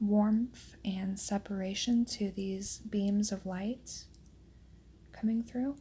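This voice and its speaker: A soft-spoken woman's dark, mellow, somewhat breathy voice in a calm tone, at a very slow pace. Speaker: watercolor artist and tutorial host. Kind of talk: soft-spoken ASMR painting tutorial narration. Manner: soft-spoken, calm.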